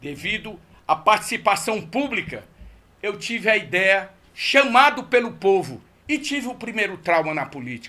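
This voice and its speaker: The voice is raised and projected, moving at a moderate pace. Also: man. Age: 60s. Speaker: political candidate. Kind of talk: radio interview. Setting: radio studio.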